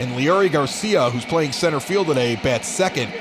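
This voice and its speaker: An American man speaks at a moderate pace with very wide pitch swings, over noticeable background noise and audible room echo. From Chicago South Side. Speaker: baseball play-by-play announcer. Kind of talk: simulated radio play-by-play commentary. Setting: home basement bar. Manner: animated.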